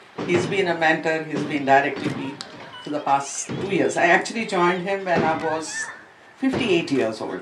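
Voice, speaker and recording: A woman speaks at a moderate pace with lively intonation and a fairly low pitch. Audible room echo and noticeable background noise are present. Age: 60s. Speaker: school educator and swimmer. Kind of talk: speech at an event.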